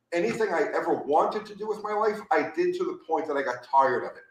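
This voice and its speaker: Audible room echo carries a man's high-pitched voice as it swings very widely in pitch. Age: 50s. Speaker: former nitro drag racer. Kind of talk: casual chat. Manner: animated.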